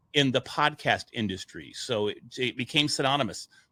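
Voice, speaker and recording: Loud and bright with a sharp tone, a man's voice is captured with a dry, close sound and no echo. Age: middle-aged. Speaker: podcast media entrepreneur. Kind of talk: casual interview storytelling.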